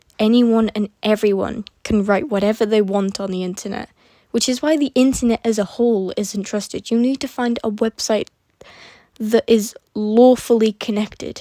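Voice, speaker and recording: Her fairly high pitch carries a dark, mellow tone, as this woman speaks with fairly even intonation. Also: moderate pace. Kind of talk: casual talk to camera addressing drama. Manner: hesitant.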